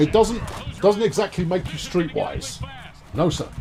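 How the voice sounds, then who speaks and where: Against background music, the speaker talks at a moderate pace with lively intonation. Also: man. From England, Suffolk. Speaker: video game streamer. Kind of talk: casual live-stream chat with gameplay commentary. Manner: animated, hesitant with many fillers.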